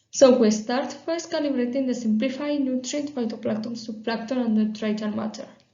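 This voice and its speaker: In a room with audible echo, a woman speaks fairly quickly in a high pitch with fairly even intonation. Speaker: PhD researcher. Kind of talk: conference talk. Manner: halting, many fillers.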